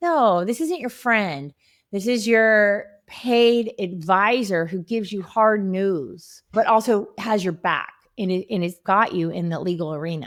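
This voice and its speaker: With an ordinary speaking voice, a woman of medium pitch talks at a fairly slow pace with lively intonation on a very clean recording with a silent background. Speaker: divorce lawyer. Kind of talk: casual interview chat.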